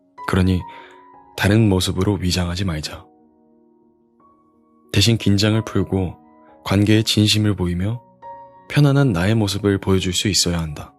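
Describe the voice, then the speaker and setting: A man talks with a fairly low pitch. Music plays in the background. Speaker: audiobook reader. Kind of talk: audiobook reading for sleep. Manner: calm, relaxed.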